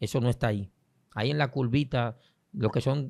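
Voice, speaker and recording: A man with a medium pitch and ordinary pitch variation is captured on a very clean recording against a silent background. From Dominican Republic, San Pedro de Macorís. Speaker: prophet, preacher. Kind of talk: interview conversation on faith.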